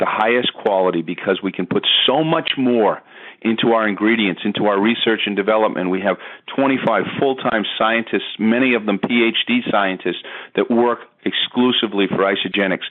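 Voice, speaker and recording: Loudness stays very even as a man talks at a fairly low pitch. His pace is fairly quick, and his pitch varies in an ordinary way. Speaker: network marketing presenter. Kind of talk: sales pitch. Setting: conference call. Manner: fast; animated.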